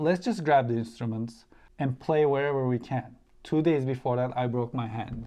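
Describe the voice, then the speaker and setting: A man with a Turkish accent speaks at a moderate pace and medium pitch in a dark, mellow tone, with ordinary pitch variation. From Turkey. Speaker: musician and YouTuber. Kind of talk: interview.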